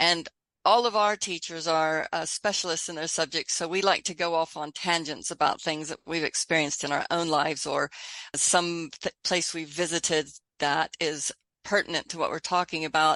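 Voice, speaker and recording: A woman with an American accent speaks at a moderate pace and fairly low pitch, her tone bright and sharp and her intonation fairly even, in a dry, close sound with no echo and a quiet background. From Texas. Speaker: online school founder, educator. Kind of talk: podcast interview.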